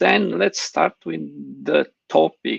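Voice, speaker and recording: A man at a very slow pace, dry and close with no echo. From Romania. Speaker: conference host. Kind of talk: panel moderation. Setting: online live stream.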